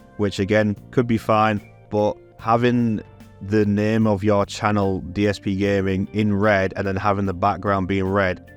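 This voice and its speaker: Music plays in the background as a man talks fairly slowly in a fairly low pitch. His intonation is monotone and flat. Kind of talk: video essay voiceover.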